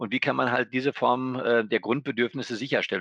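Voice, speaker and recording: Speaking very fast at a medium pitch, a man is recorded with a dry, close sound and no echo. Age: 40s. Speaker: bank executive. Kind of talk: interview conversation.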